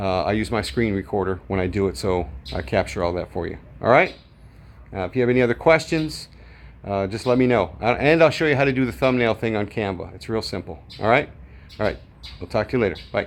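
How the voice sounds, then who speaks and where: Rushing at a very fast pace, a man with a fairly low pitch and vocal fry swings his pitch very widely. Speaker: video tutorial creator. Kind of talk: tutorial. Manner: casual, with filler words.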